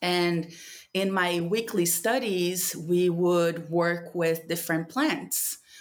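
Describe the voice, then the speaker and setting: Speaking very slowly, a woman with a Portuguese accent has a fairly low pitch. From Brazil, São Paulo. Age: 30s. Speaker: spiritual mentor and plant medicine practitioner. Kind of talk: casual conversation with a friend.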